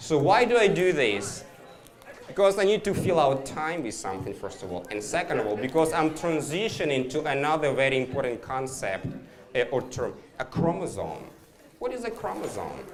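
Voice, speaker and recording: Amid noticeable background noise and audible room echo, a man with a non-native accent speaks in an animated tone at a fairly high pitch, a moderate pace and very wide pitch swings. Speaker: biology professor. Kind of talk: public science talk. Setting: bar with live audience. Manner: animated, interactive.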